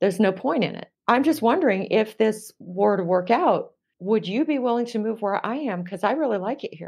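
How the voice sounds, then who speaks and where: This woman has an ordinary speaking voice, fairly high in pitch with lively intonation. She talks at a fairly quick pace with hardly any pauses. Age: 50s. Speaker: dating coach and professor. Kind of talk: interview conversation.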